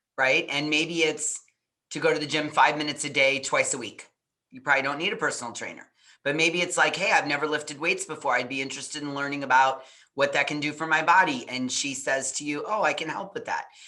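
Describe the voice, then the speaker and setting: A woman talks at a very fast pace in a very deep, low pitch with ordinary pitch variation. Her tone is bright and sharp, and her loudness swings widely. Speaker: parenting coach. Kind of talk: interview.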